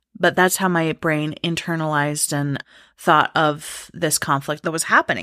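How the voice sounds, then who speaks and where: A woman with a very deep, low pitch and a bright, sharp tone, monotone and flat in intonation, at a moderate pace, dry and close with no echo on a very clean recording with a silent background. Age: 30s. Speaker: podcast host. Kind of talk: personal storytelling monologue.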